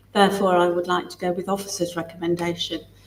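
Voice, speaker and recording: A woman's fairly low voice in a monotone, flat intonation. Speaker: councillor. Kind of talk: committee debate. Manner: hesitant.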